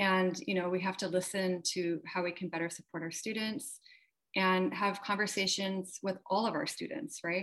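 At a moderate pace, a woman speaks in a normal speaking voice with medium pitch and ordinary pitch variation. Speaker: history professor. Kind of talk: panel discussion. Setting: video call.

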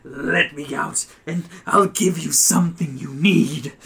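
A growling, put-on character voice at a fairly slow pace. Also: man, fairly high pitch for a man. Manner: menacing, bargaining.

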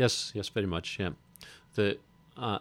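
A man with a Hebridean accent speaks at a moderate pace with fairly even intonation on a very clean recording with a silent background. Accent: Hebridean Scottish. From Scotland, Isle of Lewis. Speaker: playwright. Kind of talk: interview.

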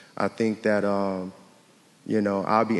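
A man's fairly low voice in a monotone, flat intonation. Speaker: parent panelist. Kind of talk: panel discussion. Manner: soft-spoken at times.

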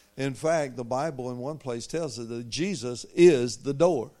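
Speaking fairly slowly, a man has a medium pitch and a dark, mellow tone. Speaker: visiting preacher. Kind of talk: sermon. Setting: church.

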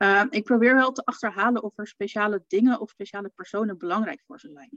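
At a moderate pace, a woman speaks in a normal speaking voice at a medium pitch, with ordinary pitch variation and a dry, close sound with no echo. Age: 40s. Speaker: funeral photographer. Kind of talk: casual chat in a live video stream. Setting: live stream in a Facebook group.

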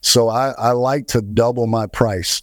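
A man speaks in an ordinary speaking voice at a medium pitch with fairly even intonation. The recording is very clean with a silent background. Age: 40s. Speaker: barber. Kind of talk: casual chat.

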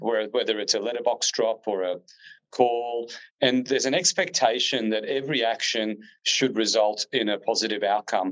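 In an Australian accent, a man speaks at a moderate pace. His pitch is medium. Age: 30s. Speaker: real estate agent. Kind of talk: interview.

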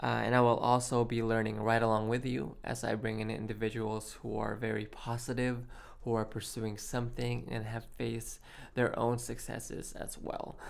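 Amid audible room echo, a man talks at medium pitch with monotone, flat intonation. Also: moderate pace. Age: 20s. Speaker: podcast host. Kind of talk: solo podcast monologue.

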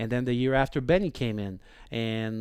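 In a very clean recording with a silent background, a man of medium pitch talks at a moderate pace in a Quebec accent. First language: French. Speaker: hockey assistant coach. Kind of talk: casual chat.

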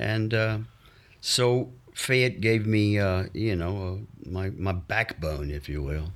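In a very clean recording with a silent background, a man with a Mississippi accent speaks at a very slow pace. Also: fairly low pitch for a man, ordinary pitch variation. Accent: Southern US (Mississippi). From US South, Mississippi. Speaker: actor. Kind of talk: casual chat. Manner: animated; talkative.

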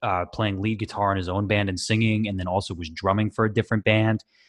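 Speaking with an American accent, a man has a fairly low pitch. His intonation is monotone and flat, over a quiet background. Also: hardly any pauses. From US West Coast, Washington state. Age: 20s. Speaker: singer in a band. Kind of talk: casual interview chat.

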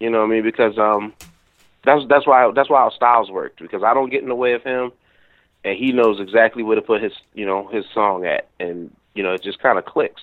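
A man rushes through his words very fast, his medium-pitched voice held to fairly even intonation. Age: 30s. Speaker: hip hop producer. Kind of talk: casual interview. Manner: halting, many fillers.

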